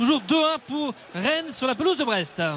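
The man talks while noticeable background noise can be heard. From Brittany, France. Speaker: football match reporter. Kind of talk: live commentary.

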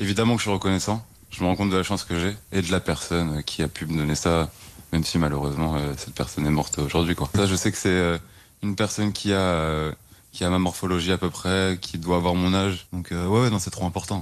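A man with a very deep, low pitch speaks at a fairly quick pace with fairly even intonation. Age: 20s. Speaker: heart transplant patient. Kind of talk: testimony. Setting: hospital bed. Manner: hesitant.

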